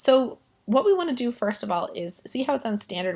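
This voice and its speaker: In a very clean recording with a silent background, a woman with a fairly high, somewhat breathy voice speaks at a fairly quick pace with very wide pitch swings. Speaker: statistics teacher. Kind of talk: tutorial. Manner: conversational.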